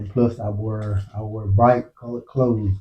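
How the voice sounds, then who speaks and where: A somewhat breathy voice moves at a fairly slow pace. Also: man. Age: 60s. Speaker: motorcycle vlogger. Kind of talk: casual monologue. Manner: halting.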